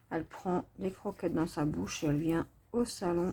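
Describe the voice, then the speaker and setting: A soft-spoken woman at a fairly low pitch and a fairly slow pace. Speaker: diamond painting vlogger. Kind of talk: casual vlog talk. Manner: speaking softly.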